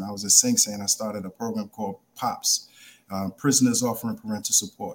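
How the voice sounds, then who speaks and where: Here a man speaks in a New York accent. He keeps a fairly quick pace. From New York, South Bronx. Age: 40s. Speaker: addiction treatment executive. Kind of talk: radio interview. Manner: halting.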